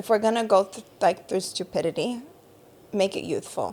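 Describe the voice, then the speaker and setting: A woman with a fairly high pitch, at a moderate pace. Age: 30s. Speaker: podcast co-host. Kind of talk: casual chat.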